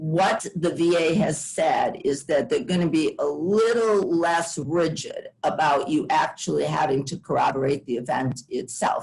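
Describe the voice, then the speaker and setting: A somewhat breathy woman at fairly low pitch, with ordinary pitch variation. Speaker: law clinic attorney. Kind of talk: panel presentation. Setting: video call webinar.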